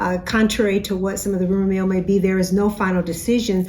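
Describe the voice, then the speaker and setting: A woman talks very fast at a medium pitch, her intonation monotone and flat. Noticeable background noise runs behind her. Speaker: university president. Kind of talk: weekly message to campus. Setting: office.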